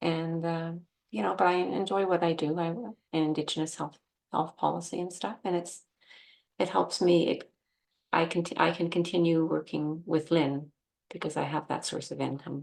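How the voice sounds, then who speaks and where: Here a woman with an ordinary speaking voice talks at a moderate pace, her fairly low pitch showing ordinary variation. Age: 60s. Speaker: akashic record reader. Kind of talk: casual chat.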